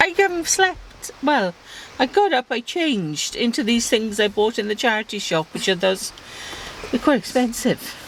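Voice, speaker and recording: A woman with a South Wales accent, fairly high in pitch, with very wide pitch swings over noticeable background noise. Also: moderate pace. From South Wales, Swansea. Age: 60s. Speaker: mother on cycling trip. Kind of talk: interview; casual chat.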